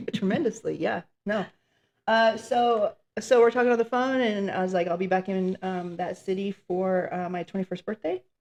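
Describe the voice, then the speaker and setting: Here a woman speaks in a normal speaking voice at a medium pitch. Her pace is moderate, with ordinary pitch variation. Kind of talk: casual talk to camera.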